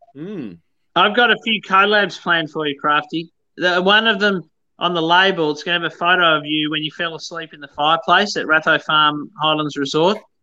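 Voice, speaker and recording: A man with a high pitch and a bright, sharp tone talks at a fairly quick pace, with big swings in loudness and ordinary pitch variation. The background is quiet. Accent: Australian. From Tasmania, Australia. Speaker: whisky company founder. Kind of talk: casual chat. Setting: video call.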